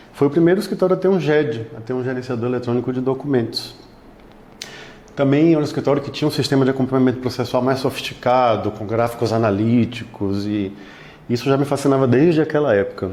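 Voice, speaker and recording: At a very fast pace, a man of medium pitch speaks with ordinary pitch variation. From Bahia, Brazil. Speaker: law firm technology partner. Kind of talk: interview.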